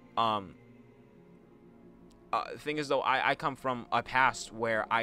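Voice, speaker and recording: Over music in the background, a man talks with medium pitch and ordinary pitch variation. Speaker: YouTuber. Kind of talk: personal vlog monologue. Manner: halting.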